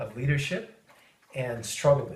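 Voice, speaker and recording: Against audible room echo, a man with a medium pitch sounds somewhat breathy. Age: 50s. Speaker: high-tech worker. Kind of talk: interview. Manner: halting, many fillers.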